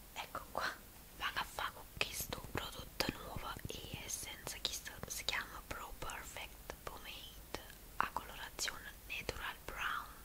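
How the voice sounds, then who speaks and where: The woman is whispering. She goes at a very slow pace. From Naples. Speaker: ASMR beauty creator. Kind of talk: ASMR makeup tutorial. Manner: whispered. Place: home room. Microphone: studio mic.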